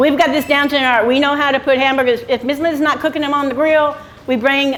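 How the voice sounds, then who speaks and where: A loud woman at a very fast pace, fairly even in intonation, with noticeable background noise. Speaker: retired small business owner on Route 66. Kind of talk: interview.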